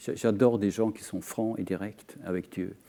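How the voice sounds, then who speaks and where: Speaking with a Scandinavian accent, this man has a dark, mellow tone and a fairly low pitch. He moves at a fairly slow pace with ordinary pitch variation. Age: 50s. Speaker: author. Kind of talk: panel discussion. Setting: TV studio. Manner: halting, many repetitions.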